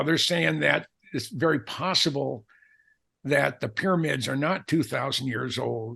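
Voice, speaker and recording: Against a quiet background, the speaker goes at a moderate pace with lively intonation and vocal fry. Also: man. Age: 70s. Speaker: aviation author. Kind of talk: casual chat. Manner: halting.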